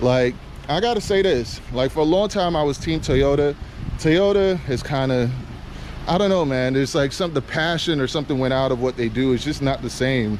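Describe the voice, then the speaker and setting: Noticeable background noise sits behind a man with a fairly high pitch. He keeps a moderate pace and very even loudness. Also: ordinary pitch variation. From Trinidad and Tobago. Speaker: car reviewer. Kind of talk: casual video review. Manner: animated.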